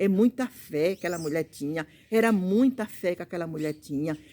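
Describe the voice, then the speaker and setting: Her voice is fairly low in pitch, and this woman has a dark, mellow tone. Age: 60s. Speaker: preacher. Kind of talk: sermon. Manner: halting.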